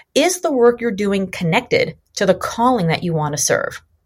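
A woman's fairly high voice at a fairly quick pace, with very wide pitch swings. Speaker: author and entrepreneur. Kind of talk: interview podcast. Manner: fast; high energy.

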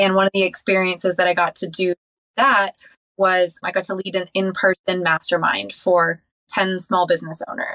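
A woman at medium pitch delivers monotone, flat intonation in a bright, sharp tone at a moderate pace, with a dry, close sound and no echo. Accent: Californian. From Southern California (Encinitas). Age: young. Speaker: sales leader and life coach. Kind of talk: interview.

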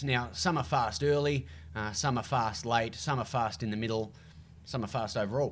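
A man with an Australian accent speaks at a moderate pace with vocal fry and very wide pitch swings. The recording is very clean, with a silent background. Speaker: TV and radio racing presenter, triathlete. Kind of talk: casual interview.

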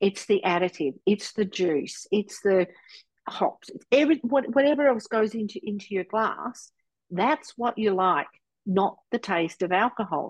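A woman with an Australian accent at a medium pitch, lively intonation and a fairly slow pace, in a dry, close sound with no echo over a quiet background. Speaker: sobriety coach. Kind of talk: interview testimony. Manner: animated.

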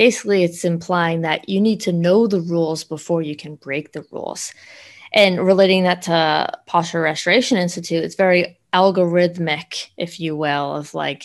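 A woman with an unremarkable speaking voice, fairly low in pitch, with fairly even intonation, a moderate pace and a quiet background. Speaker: podcast co-host, fitness trainer. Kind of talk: casual podcast chat, season wrap-up.

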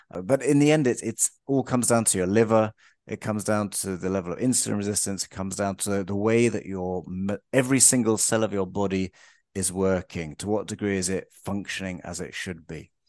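Against a quiet background, a man with a London accent talks at a fairly quick pace in a fairly low pitch with ordinary pitch variation. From London, England. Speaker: health and life coach. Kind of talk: interview.

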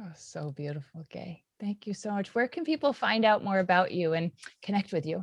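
A woman speaks at a moderate pace in a medium pitch, her somewhat breathy voice rising and falling with lively intonation in a dry, close recording with no echo. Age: 40s. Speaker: podcast host. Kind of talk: interview.

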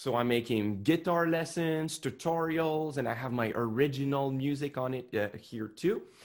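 A man speaks with hardly any pauses at a fairly high pitch. He has a French Canadian accent. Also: ordinary pitch variation. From Quebec, Montreal. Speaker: musician and online guitar teacher. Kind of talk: interview conversation. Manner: slow, careful pronunciation.

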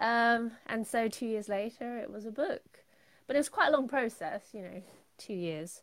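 Moderate-paced speech with a London accent, ordinary pitch variation and big swings in loudness. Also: woman, fairly high pitch for a woman. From London, England. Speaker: painter and illustrator. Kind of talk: casual interview chat.

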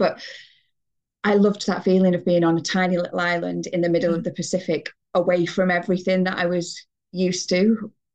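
Speaking very fast with a northern English accent, a woman uses a fairly low voice over a quiet background. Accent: northern English (Greater Manchester). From northern England, Bury near Manchester. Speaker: emigrant to New Zealand. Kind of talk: casual interview. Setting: video call.

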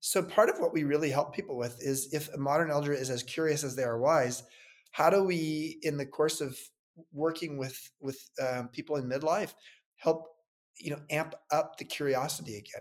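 A man with an unremarkable speaking voice, fairly high in pitch, with ordinary pitch variation and a moderate pace. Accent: American. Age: 60s. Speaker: entrepreneur. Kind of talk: interview.

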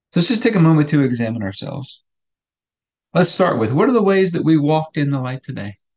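Very fast and somewhat breathy, a man speaks at a fairly high pitch. His pitch swings very widely. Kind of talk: fervent prayer, earnest spoken petition to God; daily devotional meditation. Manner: earnest, heartfelt, steady and pleading.

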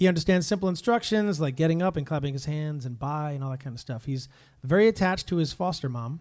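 An animated, very fast delivery with ordinary pitch variation on a very clean recording with a silent background. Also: man, fairly high pitch for a man. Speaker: worship leader streaming live. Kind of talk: casual live-stream chat between songs. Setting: live video stream.

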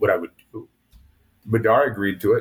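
Somewhat breathy, a man talks at a very fast pace. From Montana (born in Hawaii, moved as a child). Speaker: war veteran. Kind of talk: interview testimony.

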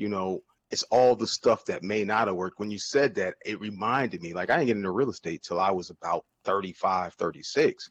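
An unremarkable speaking voice with an American accent goes at a moderate pace, in a dry, close sound with no echo and a quiet background. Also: man. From New Jersey. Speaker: real estate investor and marketing agency owner. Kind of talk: casual interview chat.

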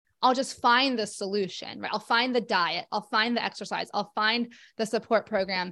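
A woman speaks at a fairly quick pace with medium pitch and fairly even intonation, in a plain, everyday voice. The recording is very clean, with a silent background. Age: 40s. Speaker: occupational therapist living with rheumatoid arthritis. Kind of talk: interview.

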